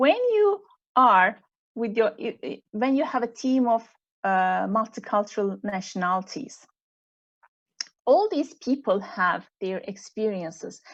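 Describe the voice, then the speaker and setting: With a Turkish accent and lively intonation, a woman talks at a fairly slow pace with long, frequent pauses. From Turkey. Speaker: executive coach. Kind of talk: online panel interview.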